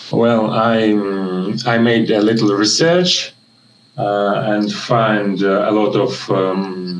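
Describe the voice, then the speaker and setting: The speech moves at a very slow pace, its loudness very even and its pitch varying in an ordinary way. Audible room echo and noticeable background noise fill the recording. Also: man, fairly low pitch for a man. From Ukraine. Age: 30s. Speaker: job candidate, junior programmer. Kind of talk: mock job interview. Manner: halting, many fillers.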